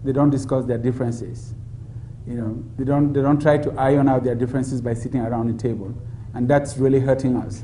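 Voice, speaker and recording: Monotone, flat speech rushes by at a very fast pace amid audible room echo and noticeable background noise. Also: man, medium pitch for a man. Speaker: democracy expert. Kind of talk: public Q&A dialogue. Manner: soft-spoken.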